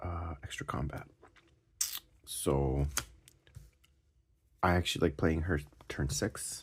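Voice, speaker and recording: A quiet man at a very slow pace, very deep and low in pitch, with vocal fry, fairly even intonation and long, frequent pauses. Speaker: card game deck reviewer. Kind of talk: casual tutorial. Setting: at home at night. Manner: quiet, hushed; casual, halting with fillers.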